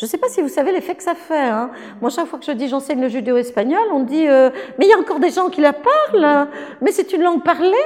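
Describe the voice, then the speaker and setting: A woman's high, lively voice at a very fast pace, with noticeable background noise. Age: 60s. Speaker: linguistics professor. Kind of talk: interview.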